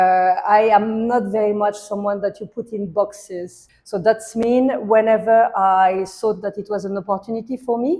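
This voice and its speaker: A woman's dark, mellow voice in a French accent, at a moderate pace with fairly even intonation and hardly any pauses, on a very clean recording with a silent background. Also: medium pitch for a woman. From France. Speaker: hospitality and art entrepreneur. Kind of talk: interview.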